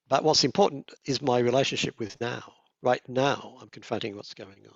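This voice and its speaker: In an unremarkable speaking voice, a man talks at medium pitch and a moderate pace, with ordinary pitch variation and big swings in loudness. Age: 60s. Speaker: meditation teacher. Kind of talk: dharma talk.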